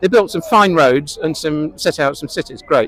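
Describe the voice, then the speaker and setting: A man with an English accent talks at a fairly quick pace over noticeable background noise. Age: 70s. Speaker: interviewee. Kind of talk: street interview. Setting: outdoors.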